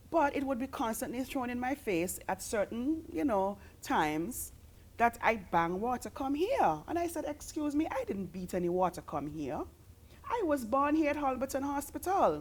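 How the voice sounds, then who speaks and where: Speaking with an Antiguan accent, a woman's high voice swings very widely in pitch at a moderate pace. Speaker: interview guest. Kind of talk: interview.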